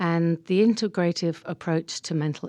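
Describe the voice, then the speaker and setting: A woman with a dark, mellow tone speaks at a fairly low pitch and a moderate pace. The sound is dry and close, with no echo. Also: very clean recording, silent background. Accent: English. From England. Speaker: counselor and mindfulness teacher. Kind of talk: radio interview.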